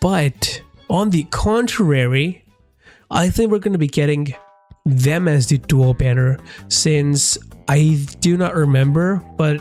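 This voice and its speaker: Over music in the background, a man talks at a very slow pace in a fairly high voice, his intonation lively and his loudness very even. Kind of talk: casual gaming commentary.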